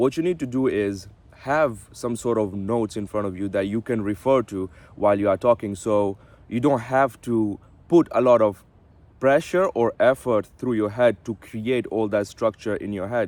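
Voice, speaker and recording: A plain, everyday voice from a man, medium in pitch with ordinary pitch variation, at a moderate pace, with a dry, close sound and no echo. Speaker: self-improvement vlogger. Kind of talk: casual talking-head vlog. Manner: some filler words and self-repairs.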